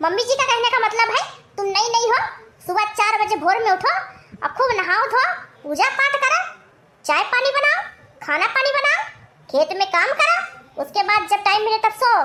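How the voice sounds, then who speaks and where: A woman's cartoonish character voice, squeaky and extremely high, at a moderate pace with long, frequent pauses. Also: lively intonation. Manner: bossy, lecturing.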